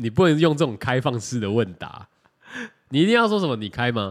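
A man talks at a fairly quick pace with lively intonation in a plain, everyday voice. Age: 30s. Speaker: podcast co-host. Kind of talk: casual chat.

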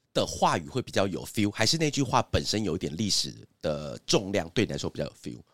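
This man's very deep, low pitch swings very widely and carries vocal fry. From Taiwan, Hsinchu (Zhudong). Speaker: podcast host, advertising agency boss. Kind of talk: casual chat.

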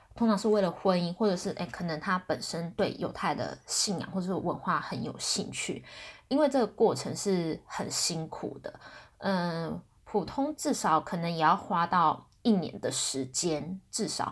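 In a Taiwanese accent, a woman speaks at a fairly slow pace with lively intonation and a fairly low pitch. The recording is very clean, with a silent background. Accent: Taiwanese Mandarin. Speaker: podcast host. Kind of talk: casual solo talk. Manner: hesitant, many fillers.

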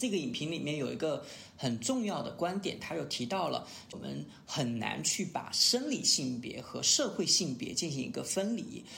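The speech moves at a moderate pace with very wide pitch swings. Audible room echo surrounds it. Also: man. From Sichuan, China. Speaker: podcast host. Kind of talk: casual chat.

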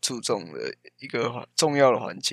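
At a fairly slow pace, a man speaks at a medium pitch in an ordinary speaking voice. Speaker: podcast co-host, engineering student. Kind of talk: casual chat.

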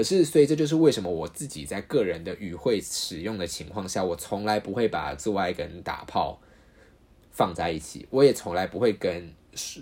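A man with a fairly low voice talks at a moderate pace, his pitch swinging very widely and his loudness rising and falling sharply. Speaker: podcast host. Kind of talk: solo podcast monologue. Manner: casual, frequent fillers and repetitions.

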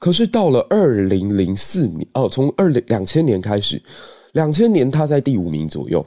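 The man's medium-pitched voice has a dark, mellow tone and very wide pitch swings. He talks at a moderate pace, and the sound is dry and close with no echo. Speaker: history teacher. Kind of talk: news commentary.

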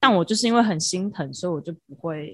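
A woman speaks at a medium pitch in a bright, sharp tone. The recording is very clean, with a silent background. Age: 20s. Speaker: podcast co-host. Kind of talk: casual chat.

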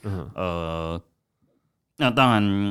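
A very clean recording of a man, the background silent. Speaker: red bean cake shop owner. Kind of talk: interview. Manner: halting, many fillers and repetitions.

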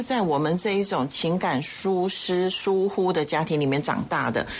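A woman at medium pitch, with noticeable background noise. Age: 60s. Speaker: foundation executive director. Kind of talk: radio interview. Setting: studio.

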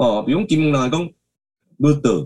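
A man talks at a moderate pace. His medium-pitched voice has lively intonation. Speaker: singer-songwriter. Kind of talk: interview. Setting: video call.

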